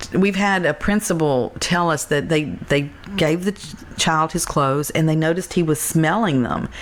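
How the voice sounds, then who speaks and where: Over noticeable background noise, a woman speaks in a very deep, low pitch. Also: ordinary pitch variation, moderate pace. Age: 60s. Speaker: charity founder. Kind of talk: interview conversation.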